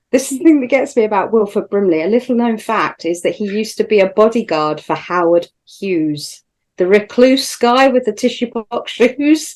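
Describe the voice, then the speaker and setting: A woman with an ordinary speaking voice, fairly high in pitch, with lively intonation at a moderate pace. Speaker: podcast co-host. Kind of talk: casual chat.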